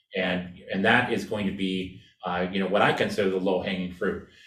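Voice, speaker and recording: A man with an American accent, heard with audible room echo. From California. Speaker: design researcher and presenter. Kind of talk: presentation and Q&A.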